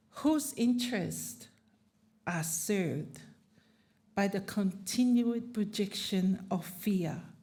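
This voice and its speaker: A woman's dark, mellow voice with vocal fry, very slow, with ordinary pitch variation and audible room echo. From Tokelau and Samoa. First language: not English (English is third language). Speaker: panelist, Pacific advocate. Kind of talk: conference panel talk.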